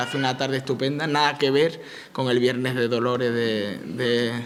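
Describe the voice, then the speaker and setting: Man's voice with fairly even intonation, noticeable background noise and audible room echo. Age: young. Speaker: town mayor. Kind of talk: opening speech at a public event. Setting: conference hall with audience. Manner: halting, many repetitions.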